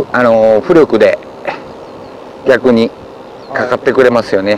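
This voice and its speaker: Against light background noise, a man speaks at a fairly slow pace with ordinary pitch variation, the sound dry with no echo. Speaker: fishing expert. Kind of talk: casual outdoor fishing talk explaining technique. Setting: outdoors. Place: waterside.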